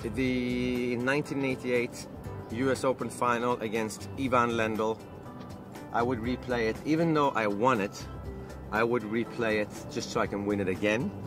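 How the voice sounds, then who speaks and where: Clear music plays behind a man speaking at a fairly slow pace. His intonation is fairly even, and the sound is dry with no echo. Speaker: interviewee. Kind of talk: interview answer. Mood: relaxed, amused. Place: car.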